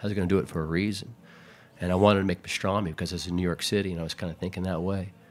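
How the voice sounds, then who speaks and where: This man has a very deep, low pitch and a Texan accent. He talks at a very fast pace in a monotone, flat intonation. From Houston, Texas. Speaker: barbecue pitmaster. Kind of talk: casual chat.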